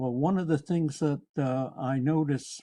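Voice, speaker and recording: This man's voice has a dark, mellow tone and a fairly high pitch. He talks at a very slow pace with ordinary pitch variation. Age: 80s+. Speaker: resident commenter. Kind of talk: public comment. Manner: halting.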